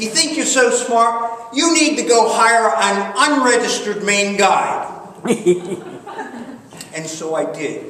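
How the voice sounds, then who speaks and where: Over noticeable background noise, a man with an extremely high pitch speaks in a raised, projected voice at a very slow pace with long, frequent pauses. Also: lively intonation. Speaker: storyteller. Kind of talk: live storytelling performance. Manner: humorous.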